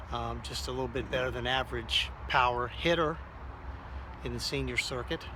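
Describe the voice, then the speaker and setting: A man talks fairly quickly while noticeable background noise and audible room echo surround him. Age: 60s. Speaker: amateur softball player. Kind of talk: casual product demo.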